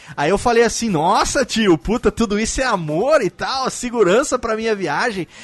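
At a moderate pace with hardly any pauses, a man with a high pitch speaks in an animated tone and lively intonation, the sound dry and close with no echo. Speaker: podcast host. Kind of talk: casual chat.

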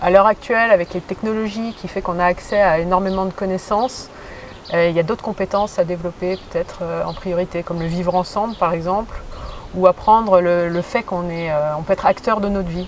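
Over noticeable background noise, a woman with a medium pitch speaks at a fairly quick pace with fairly even intonation. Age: 30s. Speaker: teacher. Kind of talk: interview.

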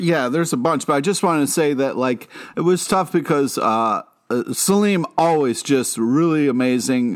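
A man's plain, everyday voice, fairly high in pitch, at a moderate pace with very even loudness and ordinary pitch variation, on a very clean recording with a silent background. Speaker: podcast co-host. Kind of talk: casual chat.

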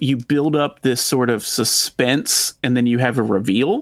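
A man's medium-pitched voice unfolds at a fairly slow pace. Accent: slight Texan. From Texas. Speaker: podcast host. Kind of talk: casual chat.

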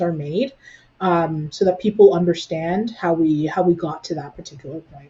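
A woman's fairly low, somewhat breathy voice with a Canadian accent, at a moderate pace. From Brampton, Ontario, Canada. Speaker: nonprofit executive director. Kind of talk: interview conversation.

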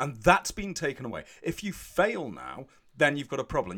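This man's voice is pitched fairly high, with a bright, sharp tone. Vocal fry runs through his speech. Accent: British. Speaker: podcast co-host. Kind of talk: casual comedic chat. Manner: animated, joking.

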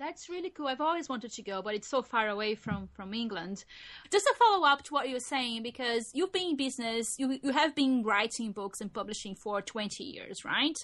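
Against a quiet background, a high-pitched woman talks at a fairly quick pace with lively intonation. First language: non-English. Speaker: podcast co-host. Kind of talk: casual chat.

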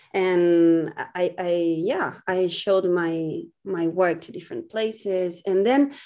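A woman speaks with a Spanish accent against a quiet background. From Chile, Viña del Mar. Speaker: visual artist. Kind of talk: interview. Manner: halting.

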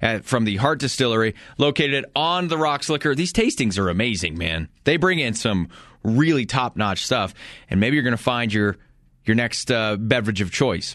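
Against a quiet background, a plain, everyday voice moves at a moderate pace with lively intonation. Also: man, medium pitch for a man. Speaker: radio sports talk host. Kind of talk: radio sports flash segment, brisk sponsor read-out of local beer and liquor store plugs. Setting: studio.

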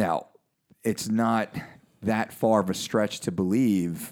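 A man speaks at a fairly slow pace in a normal speaking voice with ordinary pitch variation. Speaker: podcast host and fitness coach. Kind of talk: casual interview. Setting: studio.

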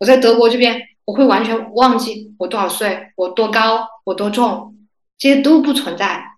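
Audible room echo surrounds a woman whose fairly high voice moves at a moderate pace with ordinary pitch variation. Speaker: graduate student. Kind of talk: casual chat.

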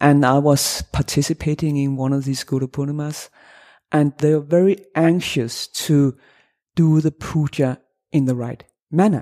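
A woman speaks at a moderate pace with a Danish accent, her very deep, low pitch carrying a dark, mellow tone and fairly even intonation. The sound is dry and close with no echo, on a very clean recording over a silent background. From Denmark. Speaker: associate professor of religious studies. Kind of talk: academic interview. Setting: academic conference.

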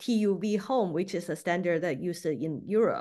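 In a Beijing accent, a woman speaks at medium pitch and moderate pace with lively intonation over a quiet background. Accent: Mandarin Chinese (Beijing) accent in English. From Beijing, China. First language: Mandarin Chinese. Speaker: packaging business owner. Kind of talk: interview. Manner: hesitant, many fillers.

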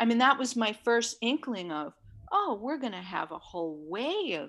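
A woman talks at a moderate pace with a fairly high pitch, very wide pitch swings and vocal fry. The recording is very clean, with a silent background. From New York City (Manhattan). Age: 60s. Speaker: bodywork therapist. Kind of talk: interview. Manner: calm.

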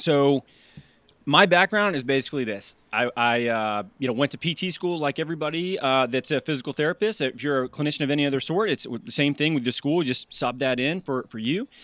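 A man with a fairly high pitch talks at a fairly quick pace with lively intonation, recorded very cleanly with a silent background and a dry, close sound that has no echo. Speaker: fitness coach and mindset speaker. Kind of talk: casual conversational interview. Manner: animated, casual, profane.

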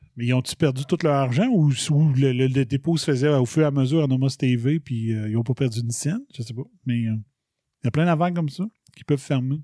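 In a dry, close recording with no echo, a man talks at a fairly quick pace in a dark, mellow tone, his medium pitch showing ordinary variation. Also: very clean recording, silent background. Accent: Quebec. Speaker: podcast host. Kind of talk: solo commentary monologue. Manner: casual, animated.

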